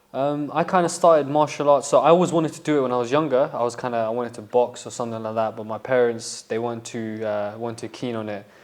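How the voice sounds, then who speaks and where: A man in a Berkshire accent at a very fast pace with hardly any pauses, medium pitch, ordinary pitch variation and big swings in loudness. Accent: Slough twang. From England, Slough and west London area. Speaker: amateur MMA fighter. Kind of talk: podcast interview.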